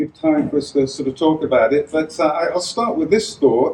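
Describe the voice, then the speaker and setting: A man speaks with an English accent at a moderate pace. His intonation is fairly even, and there is noticeable background noise. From England. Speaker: tech futurist and author. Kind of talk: talk to a live audience. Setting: room with audience in a school.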